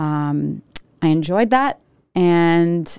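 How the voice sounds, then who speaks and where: In a Rhode Island accent, a woman speaks with a dark, mellow tone at a fairly low pitch with ordinary pitch variation. The recording is very clean and dry, close with no echo, over a silent background. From Rhode Island, Providence. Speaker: food reviewer. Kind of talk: casual chat.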